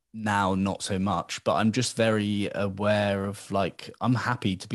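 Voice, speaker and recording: A man speaks with a British accent. His voice is fairly low-pitched, with monotone, flat intonation. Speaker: podcast host. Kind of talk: casual interview chat.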